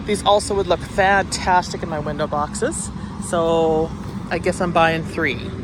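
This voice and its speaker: Against noticeable background noise, a speaker with a Canadian accent talks at a fairly slow pace. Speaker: gardening vlogger. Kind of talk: casual walk-through vlog.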